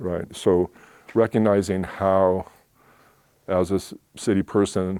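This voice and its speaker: In a West Coast accent, a man speaks with a very deep, low pitch and a dark, mellow tone on a very clean recording with a silent background and a dry, close sound with no echo. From Oakland, California. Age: 60s. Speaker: small business owner. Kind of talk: talk Q&A.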